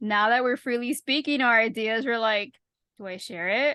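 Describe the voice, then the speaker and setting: Recorded with a dry, close sound and no echo, a woman talks at a fairly high pitch. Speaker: podcast co-host. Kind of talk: casual chat. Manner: fast.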